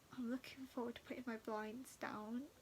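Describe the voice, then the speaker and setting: Speaking in a British accent, a woman uses a high pitch with fairly even intonation. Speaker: chronic illness vlogger. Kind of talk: casual talk to camera.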